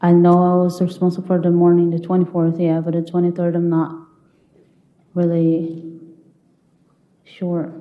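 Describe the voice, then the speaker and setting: A woman's fairly low-pitched voice with a non-native accent, monotone and flat, at a moderate pace with long, frequent pauses and audible room echo. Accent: foreign. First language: not English. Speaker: trial witness. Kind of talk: courtroom testimony. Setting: courtroom.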